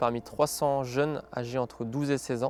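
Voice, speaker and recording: A man speaks at a moderate pace and medium pitch in a flat monotone. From France, Vendée. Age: 30s. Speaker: sports event organizer. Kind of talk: interview testimony. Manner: hesitant with frequent fillers.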